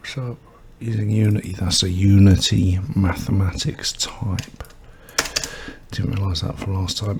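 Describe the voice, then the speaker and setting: Over noticeable background noise, a soft-spoken man mumbles at a fairly slow, fairly low pitch, with ordinary pitch variation, a fairly slow pace, and long, frequent pauses. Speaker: game developer streamer. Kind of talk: coding tutorial livestream. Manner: soft-spoken, mumbling; quiet.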